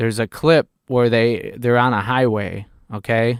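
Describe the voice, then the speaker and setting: On a very clean recording with a silent background and a dry, close sound with no echo, a man with a Chicago accent speaks at a moderate pace and medium pitch. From Chicago area (North Chicago region). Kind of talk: casual chat. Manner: halting.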